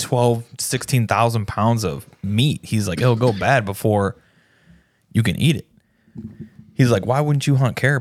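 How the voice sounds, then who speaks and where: This man's voice sits at a medium pitch, with ordinary pitch variation. He moves at a fairly slow pace and leaves long, frequent pauses. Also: very clean recording, silent background. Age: 30s. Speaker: podcast co-host. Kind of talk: casual chat.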